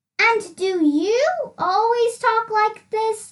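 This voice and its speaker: A woman uses a squeaky, put-on character voice at extremely high pitch. She speaks very slowly with ordinary pitch variation. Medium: read story. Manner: polite.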